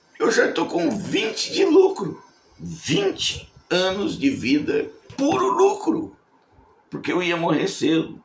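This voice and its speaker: Someone speaks at a very slow pace, with audible room echo around the voice. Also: man. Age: 70s. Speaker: evangelical preacher. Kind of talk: sermon. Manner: conversational.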